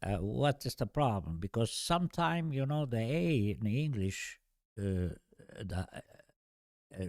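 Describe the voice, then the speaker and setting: Very slow, lively speech in an Albanian accent, with a dry, close sound with no echo and a very clean recording over a silent background. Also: man. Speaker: podcast guest. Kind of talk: casual chat. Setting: studio. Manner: halting.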